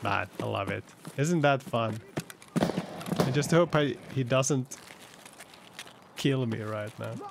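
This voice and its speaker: A man's voice with loud background noise, ordinary pitch variation, a very slow pace and long, frequent pauses. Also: medium pitch for a man. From Finland. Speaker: game streamer. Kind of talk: live gameplay commentary. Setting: in-game voice chat. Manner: animated. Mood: tense, playful. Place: home room.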